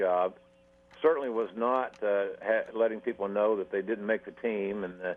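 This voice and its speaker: A man at medium pitch and a moderate pace, in a plain, everyday voice. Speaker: wrestling announcer and talent development consultant. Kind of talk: radio interview answer.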